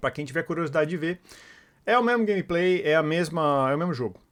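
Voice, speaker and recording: This man talks at a fairly quick pace, his high voice moving with lively intonation. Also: very clean recording, silent background. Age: adult, past university. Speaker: gaming youtuber. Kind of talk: gameplay commentary. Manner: casual, with fillers.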